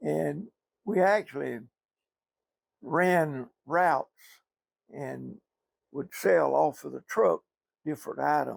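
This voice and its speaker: With a Southern US accent, a man speaks at a very slow pace with long, frequent pauses and big swings in loudness, the sound dry and close with no echo. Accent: Southern US (Georgia). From US South, southeast Georgia. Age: 80s+. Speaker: retired businessman. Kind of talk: oral history interview.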